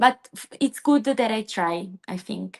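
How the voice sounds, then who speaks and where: Speaking very slowly with an Italian accent, a woman is heard in a dry, close sound with no echo. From southern Italy (Basilicata). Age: 20s. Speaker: PhD student. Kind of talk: interview. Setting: live stream video call. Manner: halting.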